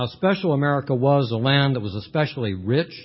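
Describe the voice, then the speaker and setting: Somewhat breathy, a man speaks at a moderate pace. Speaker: panel moderator. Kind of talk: panel moderator introduction, humorous. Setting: conference hall with audience.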